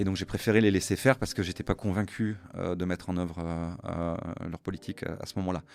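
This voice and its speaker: Speaking at a very fast pace, a man with a very deep, low pitch keeps a fairly even intonation. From Luxembourg. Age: 50s. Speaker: business executive, entrepreneur. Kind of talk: interview conversation. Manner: hesitant, many fillers.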